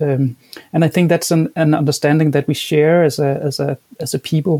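A man with a Danish accent speaks at a moderate pace in a flat, monotone delivery, his pitch fairly high and his voice somewhat breathy. The tone is dark and mellow, and the sound is dry and close with no echo. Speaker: education professor. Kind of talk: interview. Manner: halting, with many repeated words.

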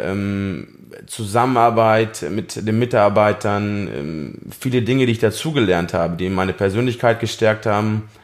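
A man speaks at a moderate pace in an ordinary speaking voice. His pitch is fairly low, with ordinary pitch variation. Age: 30s. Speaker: farrier. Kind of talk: interview.

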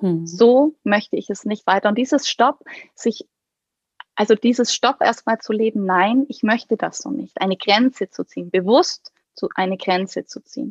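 With an unremarkable speaking voice, a woman talks at a fairly high pitch and moderate pace with lively intonation, the sound dry and close with no echo. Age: 30s. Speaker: pediatrician and coach for doctors. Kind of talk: interview conversation.

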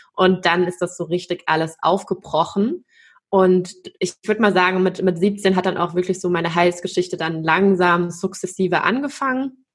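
A woman with an unremarkable speaking voice, medium pitch, fairly even intonation and a moderate pace. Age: 30s. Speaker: consciousness coach and dance teacher. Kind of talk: interview about personal trauma and healing.

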